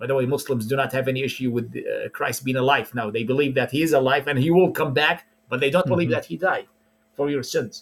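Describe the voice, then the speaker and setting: A man speaks at a very fast pace in an Arabic accent, his voice somewhat breathy. His pitch is medium and varies in an ordinary way. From Iraq. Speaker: preacher. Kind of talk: interview.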